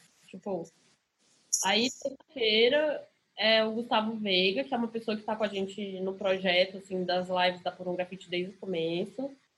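A woman talks at a moderate pace with medium pitch and ordinary pitch variation, in an unremarkable speaking voice. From Brasília, Brazil. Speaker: DJ. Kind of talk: casual chat.

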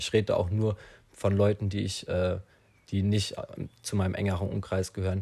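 The delivery is somewhat breathy and monotone, with flat intonation, on a very clean recording with a silent background. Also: man. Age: young. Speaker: podcaster. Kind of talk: solo monologue. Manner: halting, many fillers.

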